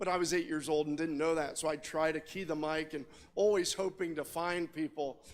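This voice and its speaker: This is an ordinary speaking voice, a man's with an American accent. His pitch is fairly high, his intonation fairly even and his pace moderate. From Indiana, US Midwest. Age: 60s. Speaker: telecom executive and radio amateur. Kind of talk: conference talk.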